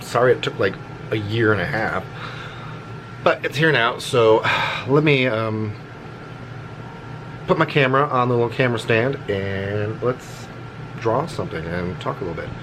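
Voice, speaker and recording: Medium-pitched male voice at a moderate pace, ordinary pitch variation, long and frequent pauses, and noticeable background noise. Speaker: artist vlogger. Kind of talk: casual chat while drawing. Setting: home art space, on camera.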